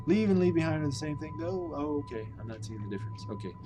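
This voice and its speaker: Here a man with an American accent talks at a very fast pace with ordinary pitch variation. Music plays in the background, and room echo is audible. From US Midwest. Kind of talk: live stream translation chat. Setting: live stream with chat. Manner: casual, thinking aloud.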